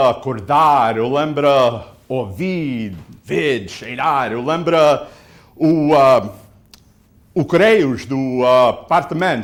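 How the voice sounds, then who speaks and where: In audible room echo, a man with an American accent and a fairly high pitch speaks at a very slow pace with lively intonation. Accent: American-accented, non-native Portuguese. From US Northeast, Portuguese-American community. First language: English (speaking Portuguese). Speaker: city council candidate. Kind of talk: interview. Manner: halting.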